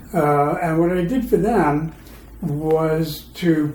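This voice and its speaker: Audible room echo surrounds a man whose voice sits fairly high in pitch. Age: 70s. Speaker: retired transit manager. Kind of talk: podcast interview.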